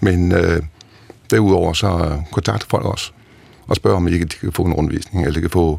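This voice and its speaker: Amid noticeable background noise, a man with a very deep, low voice talks at a moderate pace with ordinary pitch variation. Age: 60s. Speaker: retired naval officer, museum director. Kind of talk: interview.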